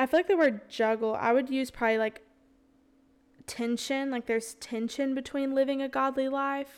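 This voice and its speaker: A woman with a Southern US accent, high-pitched, at a moderate pace. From US South, Alabama. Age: 20s. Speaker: podcast host, church ministry worker. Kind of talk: casual chat, solo Q&A. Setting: home kitchen recording. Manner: casual, unscripted, conversational.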